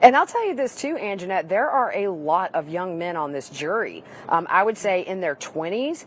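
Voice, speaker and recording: Speaking in a Southern US accent at a moderate pace, a woman uses lively intonation at a medium pitch over noticeable background noise. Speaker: trial reporter. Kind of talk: live panel discussion.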